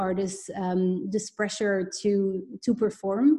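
Dark, mellow tone, somewhat breathy. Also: woman. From Belgium. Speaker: business and life coach. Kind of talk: interview.

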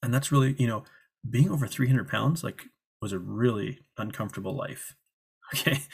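Somewhat breathy, a man at a medium pitch speaks at a moderate pace with ordinary pitch variation and long, frequent pauses. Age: 30s. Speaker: weight loss coach. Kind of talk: interview. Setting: remote call.

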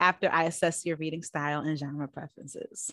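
On a very clean recording with a silent background, a woman with an American accent uses an ordinary speaking voice, talking at a fairly quick pace with fairly even intonation. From US Northeast, Bronx, New York. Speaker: psychotherapist. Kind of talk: interview.

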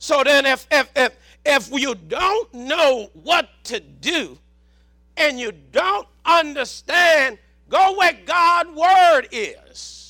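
Speaking very slowly in a Southern US accent, a man uses a raised, projected voice that is extremely high in pitch, bright and sharp, with lively intonation. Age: 60s. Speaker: preacher. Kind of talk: sermon. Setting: church.

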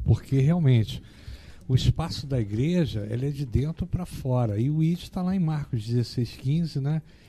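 A man's fairly high voice carries a dark, mellow tone. It sounds somewhat breathy, with ordinary pitch variation. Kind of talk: reading aloud; casual chat.

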